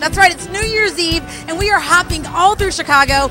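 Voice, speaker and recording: A woman speaks over clear music in the background. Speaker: TV host. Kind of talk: TV host presenting. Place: bar. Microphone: handheld.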